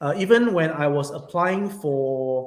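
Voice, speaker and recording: With music in the background and audible room echo, a man speaks in a fairly high pitch. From Singapore. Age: 40s. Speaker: YouTuber / vlogger. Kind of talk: casual livestream chat. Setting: small office room. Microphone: echoey room sound.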